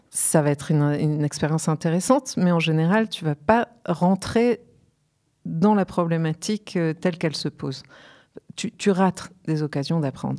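A woman speaks with a very deep, low pitch and ordinary pitch variation. The background is quiet. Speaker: guest. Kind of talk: interview answer. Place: studio. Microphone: studio mic.

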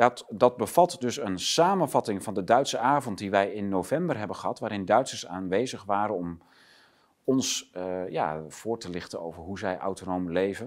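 A man speaks at a fairly low pitch in a normal speaking voice, at a moderate pace. His intonation is lively, and the background is quiet. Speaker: online talk show host. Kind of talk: political interview talk. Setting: studio. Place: studio.

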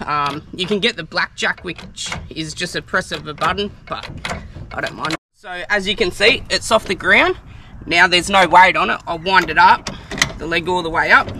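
Dry with no echo but set against noticeable background noise, a man's high-pitched voice keeps fairly even intonation. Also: moderate pace. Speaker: caravan travel vlogger. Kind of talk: tutorial. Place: open country.

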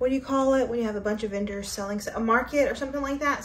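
A woman speaks at a high pitch. Audible room echo and light background noise surround her voice. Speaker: fashion vlogger. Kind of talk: casual vlog chat. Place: home room.

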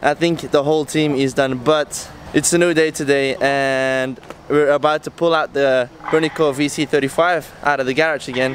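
A man speaking in a flat monotone at a moderate pace, dry with no echo, over light background noise. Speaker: boat team member vlogger. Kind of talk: casual vlog chat. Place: street. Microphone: phone near.

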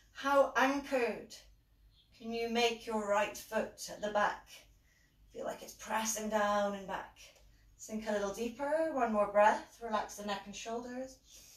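A woman with a fairly high pitch speaks at a fairly slow pace with fairly even intonation. Her loudness swings widely, and room echo is audible. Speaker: yoga instructor. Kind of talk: guided yoga class, giving calm spoken cues for poses. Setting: live online class from home. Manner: calm, soothing, instructional, steady pacing with gentle cues. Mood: calm, soothing guidance. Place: home room. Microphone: camera far.

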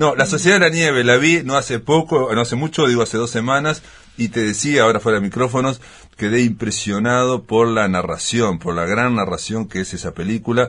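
The pace is fairly quick. The intonation is lively. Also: man. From Uruguay. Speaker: TV program host. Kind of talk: interview. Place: studio. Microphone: studio mic.

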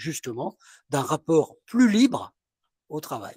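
A man's fairly high voice at a fairly slow pace, with very wide pitch swings and a dry, close sound with no echo. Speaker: retired sociology professor. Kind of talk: panel discussion. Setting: café with live and online audience.

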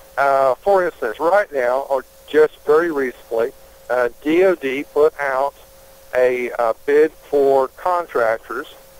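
At a very slow pace, a man with a fairly high pitch speaks with ordinary pitch variation, in a dry, close sound with no echo and noticeable background noise. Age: 50s. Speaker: congressional candidate. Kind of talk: interview.

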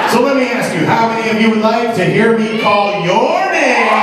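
A man amid loud background noise and audible room echo. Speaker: announcer, emcee, comedian. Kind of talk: live audience warm-up. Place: stage.

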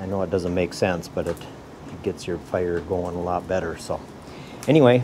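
Moderate pace and ordinary pitch variation over noticeable background noise. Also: man. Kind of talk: casual vlog chat. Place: workshop. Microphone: phone near.

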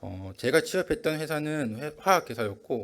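In a very clean recording with a silent background, a man delivers his words at a moderate tempo. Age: 20s. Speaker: church member giving testimony. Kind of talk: testimony. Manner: halting.

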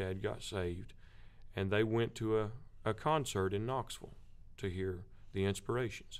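The speaker has an American accent and a fairly slow pace. The intonation stays fairly even. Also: man. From US South. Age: 30s. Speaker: gospel quartet lead singer; guest. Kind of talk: interview. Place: studio. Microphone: studio mic.

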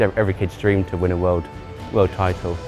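With clear music in the background, a man with a Mancunian accent speaks very fast in a very deep, low, monotone, flat voice. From Greater Manchester. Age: young. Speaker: para cyclist. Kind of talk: interview answer. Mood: proud, modest, happy. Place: hall. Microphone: lapel.

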